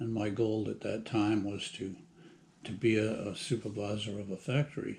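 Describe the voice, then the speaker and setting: Fairly even in intonation, this man's somewhat breathy, fairly low voice carries an American accent at a moderate pace. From Massachusetts, US. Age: 80s+. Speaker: retired plant manager. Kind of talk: personal life story interview. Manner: halting, many fillers.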